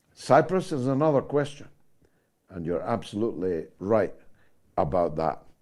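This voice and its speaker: Medium-pitched male voice with a dark, mellow tone, over a quiet background. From Scotland. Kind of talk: radio news/talk.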